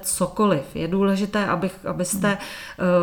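A woman with an unremarkable speaking voice, medium pitch and a fairly slow pace. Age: 50s. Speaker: natural birth advocate and sex education lecturer. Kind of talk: interview.

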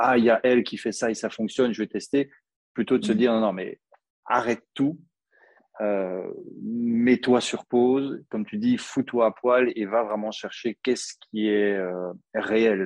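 A man's ordinary speaking voice at medium pitch, fairly slow, with fairly even intonation and a dry, close sound with no echo. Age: 40s. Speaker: copywriter. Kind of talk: interview.

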